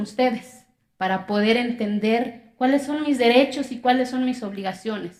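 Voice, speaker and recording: A woman speaks at a moderate pace with an Oaxacan accent, her fairly high pitch held in fairly even intonation. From Mexico, Zapotec community in Oaxaca. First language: Zapotec (speaking Spanish). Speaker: public speaker, accountant. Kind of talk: testimony speech.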